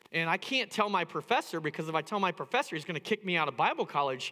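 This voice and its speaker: A man's bright, sharp voice with an American accent, very fast pace and lively intonation. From US Midwest, Indiana. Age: 50s. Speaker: pastor. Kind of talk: sermon. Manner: halting.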